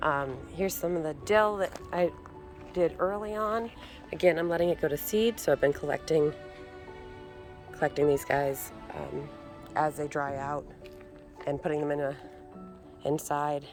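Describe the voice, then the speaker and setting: Over music in the background, a woman with a very deep, low pitch talks in a relaxed tone at a moderate pace, with ordinary pitch variation and long, frequent pauses. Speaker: homesteader, gardener. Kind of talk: casual garden tour talk to camera. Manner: relaxed, hesitant with many fillers.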